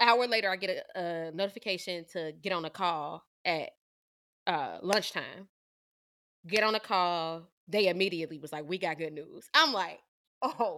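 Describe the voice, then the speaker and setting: In a very clean recording with a silent background, a woman speaks in an animated, bright and sharp tone at a moderate pace, with ordinary pitch variation and long, frequent pauses. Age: 20s. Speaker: podcast co-host. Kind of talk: casual chat.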